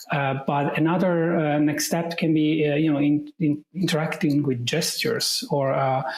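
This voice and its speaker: A man with an Italian accent talks at a moderate pace with hardly any pauses. His fairly high voice has fairly even intonation over noticeable background noise. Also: very even loudness. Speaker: AI specialist. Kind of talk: podcast interview. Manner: hesitant, many fillers.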